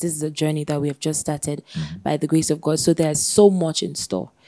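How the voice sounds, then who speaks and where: A woman speaks at a fairly quick pace with a very deep, low pitch and a dark, mellow tone. Her intonation is fairly even, and the background is quiet. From Sierra Leone. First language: not English. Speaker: podcast co-host. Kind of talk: casual chat. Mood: warm, earnest. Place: studio. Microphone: studio mic.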